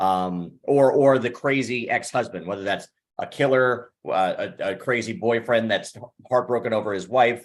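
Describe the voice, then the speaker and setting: A man's medium-pitched voice, with ordinary pitch variation, is heard in an American accent. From Missouri, US Midwest. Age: 30s. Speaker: actor and panelist. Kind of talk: casual panel chat. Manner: fast-talking.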